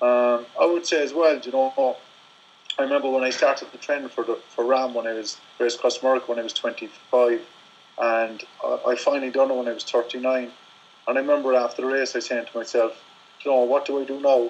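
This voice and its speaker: Speaking at a fairly quick pace, a man with an Irish accent keeps a medium pitch and a monotone, flat intonation. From Ireland. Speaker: ultra-distance cyclist. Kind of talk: interview. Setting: phone call. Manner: halting.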